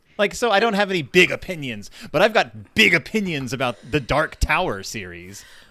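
A man talks at a fairly quick pace with hardly any pauses, in a fairly high pitch marked by vocal fry and very wide pitch swings. His tone is bright and sharp, and the recording is very clean with a silent background. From South Texas. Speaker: podcast host, guest. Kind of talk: casual chat. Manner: halting.

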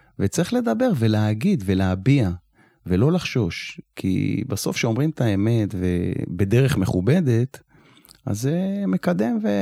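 The tone is dark and mellow, with very wide pitch swings. The pace is very slow. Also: man, medium pitch for a man. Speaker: retired security officer and nonprofit founder. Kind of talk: interview conversation.

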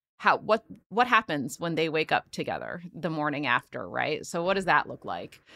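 A woman with a very deep, low pitch and vocal fry speaks at a moderate pace with lively intonation. Her tone is bright and sharp, and the sound is dry and close with no echo. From Philadelphia. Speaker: playwright and screenwriter. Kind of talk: casual chat.

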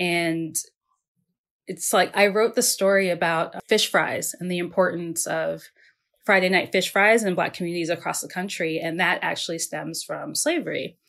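A woman with an unremarkable speaking voice talks at a moderate pace in a fairly low pitch with ordinary pitch variation. The recording is very clean, with a silent background. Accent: American. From Maryland, US Mid-Atlantic. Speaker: food writer and podcast host. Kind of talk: casual interview conversation.

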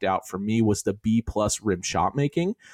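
An ordinary speaking voice from a man at medium pitch, with lively intonation, a dry, close sound with no echo, and a very clean recording over a silent background. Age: 30s. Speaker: podcast host. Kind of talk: casual chat.

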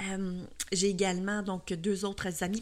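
A woman's medium-pitched voice. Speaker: podcast host and cake design instructor. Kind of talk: solo podcast monologue. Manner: hesitant, many fillers.

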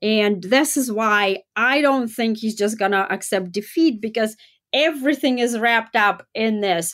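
A woman with a Russian accent speaks at a fairly slow pace and fairly high pitch, her loudness very even, on a very clean recording with a silent background. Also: ordinary pitch variation. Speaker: political analyst. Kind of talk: interview.

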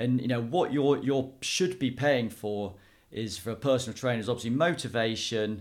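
Pitch moves in an ordinary way while the delivery holds a moderate pace. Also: man, medium pitch for a man. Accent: southern English. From southern England, Dorset (Poole area). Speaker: personal trainer and fitness business owner, former rugby player and city trader. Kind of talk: interview. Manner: halting, many fillers and restarts.

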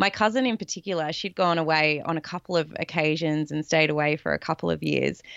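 Speaking at a very fast pace with hardly any pauses, a woman has an Australian accent. Her pitch is very deep and low, with ordinary pitch variation. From south coast of Australia. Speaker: life coach and former athlete. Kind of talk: casual interview chat.

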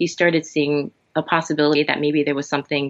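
A woman with an American accent talks at a fairly quick pace. Her pitch is very deep and low. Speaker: functional health coach and massage therapist. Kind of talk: interview conversation. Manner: halting, many fillers.

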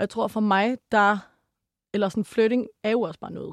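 The sound is dry and close with no echo as a woman speaks at a medium pitch and moderate pace with ordinary pitch variation. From Denmark. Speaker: psychology student and sex educator. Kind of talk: casual chat.

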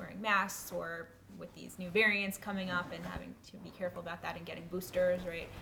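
Clear background noise runs beneath speech delivered at a middling speed. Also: woman. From New York. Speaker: program fellow. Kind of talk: interview. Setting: in a house.

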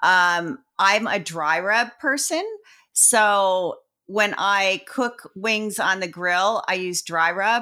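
A woman's bright, sharp voice at medium pitch, with an American accent and ordinary pitch variation, on a very clean recording with a silent background. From New Jersey. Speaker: competition barbecue cook. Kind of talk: casual chat.

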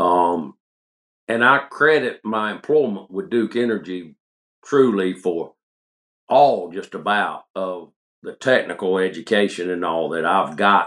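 A man's fairly low voice in an upstate South Carolina accent, at a fairly slow pace with lively intonation. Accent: Southern US (upstate South Carolina). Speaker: coon hunting light maker, former chemist. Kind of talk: casual interview chat.

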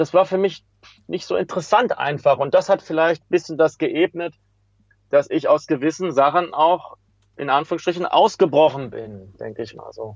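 A man with an unremarkable speaking voice, fairly high pitch, ordinary pitch variation, moderate pace and big swings in loudness. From western Germany, Hagen near Dortmund. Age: 40s. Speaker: street pianist. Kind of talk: interview.

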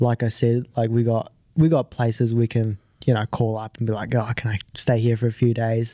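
In a dry, close sound with no echo, a man with a dark, mellow tone speaks at a moderate pace and medium pitch, his intonation flat and monotone. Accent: New Zealand. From New Zealand (born in Japan, moved at five). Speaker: amateur golfer. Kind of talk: interview.

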